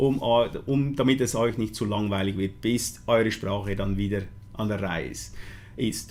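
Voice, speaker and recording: A man with a Swiss German accent speaks at a fairly slow pace. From Switzerland. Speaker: vape product maker presenting a launch. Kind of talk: live stream product presentation. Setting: live stream. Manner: hesitant, many fillers.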